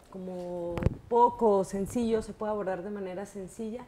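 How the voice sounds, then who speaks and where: A woman with a slight northern Mexican accent speaks at a very slow pace. Noticeable background noise can be heard. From northern Mexico, Baja California. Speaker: professor. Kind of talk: interview.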